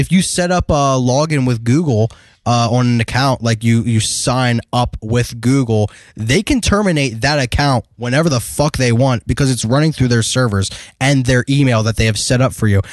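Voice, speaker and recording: In a normal speaking voice with an American accent, a man speaks at a moderate pace and medium pitch with ordinary pitch variation. The loudness stays very even, and the sound is dry and close with no echo over a quiet background. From US Midwest, Detroit area. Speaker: podcast co-host. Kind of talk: casual chat.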